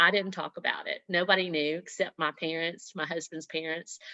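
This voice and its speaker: Speaking with a Southern US accent, a woman keeps a moderate pace, a medium pitch and ordinary pitch variation. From US South, Mississippi. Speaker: network marketing leader, former nurse. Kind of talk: motivational talk on team video call. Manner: animated.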